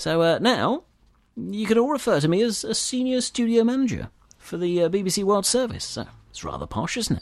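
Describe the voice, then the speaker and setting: A man with a British accent talks at a moderate pace in a high pitch. His pitch varies in an ordinary way. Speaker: podcast host. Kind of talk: radio DJ patter, a chatty scripted-sounding intro with sign-off. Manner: upbeat, warm and chatty, easygoing presenter style; bright, friendly, with casual fillers and jokes to the listener.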